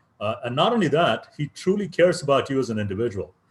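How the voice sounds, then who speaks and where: Lively intonation in a man's somewhat breathy voice, fairly high in pitch. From India, Chennai. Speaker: professor. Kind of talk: invited talk.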